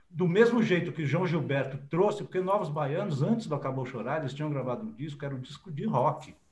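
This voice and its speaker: A man with a fairly high pitch speaks at a moderate pace, somewhat breathy, with very wide pitch swings. Audible room echo surrounds him. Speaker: journalist and writer. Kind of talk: interview.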